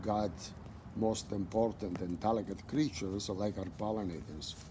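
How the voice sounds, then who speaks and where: Speaking fairly slowly with an Italian accent, a man has a fairly low pitch and ordinary pitch variation. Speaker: butterfly gardener. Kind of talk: interview.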